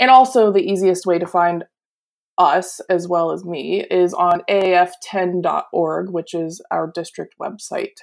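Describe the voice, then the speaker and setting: A woman with an American accent, an ordinary speaking voice, fairly low in pitch, with fairly even intonation. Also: fairly slow pace. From Pennsylvania, US. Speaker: advertising educator. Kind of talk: interview.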